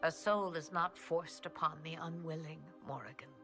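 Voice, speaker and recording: A put-on character voice at a middle pitch plays over clear music in the background. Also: moderate pace. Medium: video game. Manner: cryptic, theatrical.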